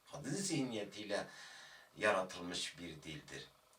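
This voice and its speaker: Amid audible room echo, a man speaks at a very slow pace. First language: Kurdish (speaking Turkish). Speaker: Kurdish language teacher. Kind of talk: video lecture. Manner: hesitant, with filler sounds.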